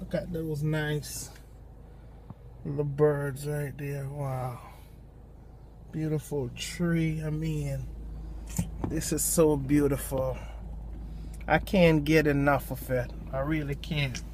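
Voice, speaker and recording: A man at a very slow pace with long, frequent pauses, amid audible room echo. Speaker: lay preacher. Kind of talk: informal devotional talk. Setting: in a parked car at a park. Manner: hesitant, many ums.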